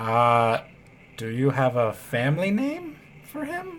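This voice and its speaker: A put-on character voice at a low-to-middle pitch and fairly slow pace. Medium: actual play.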